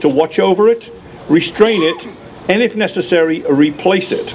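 Light background noise runs under a man speaking in a British accent. His pitch is high, his pace moderate and his pitch variation ordinary. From United Kingdom. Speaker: gun rights activist. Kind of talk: rally speech. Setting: outdoor rally with crowd. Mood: earnest, sardonic. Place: street. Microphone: podium.

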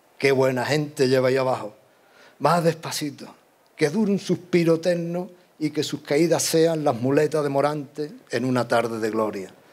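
Ordinary pitch variation and a fairly slow pace from a male speaker. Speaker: pregonero giving a religious devotional proclamation. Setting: stage with audience in church or hall. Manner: declamatory, rhythmic and emotive, with ceremonial fervour. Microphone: podium.

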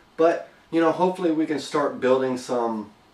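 A man speaks at a fairly quick pace with ordinary pitch variation, and audible room echo is heard. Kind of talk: casual vlog chat. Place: workshop. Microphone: camera far.

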